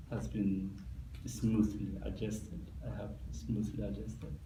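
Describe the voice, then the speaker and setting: A man with a Somali accent speaks at a fairly slow pace, his pitch swinging very widely. Vocal fry marks his voice, and audible room echo is present. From Somalia. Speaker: immigrant interviewee. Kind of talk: interview. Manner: halting.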